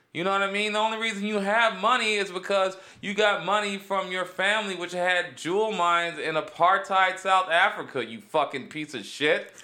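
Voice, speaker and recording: Raising and projecting his voice, a man with a high pitch and a bright, sharp tone speaks at a fairly quick pace with hardly any pauses and ordinary pitch variation. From Cleveland, Ohio (east side). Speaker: comedian. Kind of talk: casual chat. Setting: studio.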